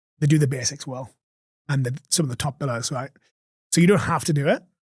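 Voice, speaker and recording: In a strong Geordie accent, a man speaks with a fairly high, somewhat breathy voice and ordinary pitch variation. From Newcastle upon Tyne, England. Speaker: recruitment agency owner. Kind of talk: podcast interview answer. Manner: energetic, blunt.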